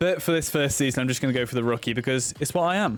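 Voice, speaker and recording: Against music in the background, a speaker with a British accent talks at a very fast pace with ordinary pitch variation. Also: man. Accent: British, drops T's. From Britain. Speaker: gaming YouTuber. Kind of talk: gameplay commentary. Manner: casual, chatty.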